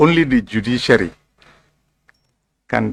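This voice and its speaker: A man with vocal fry speaks at a fairly slow pace with lively intonation. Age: 80s+. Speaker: former commission chairperson, lawyer testifying as witness. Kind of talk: witness testimony under questioning.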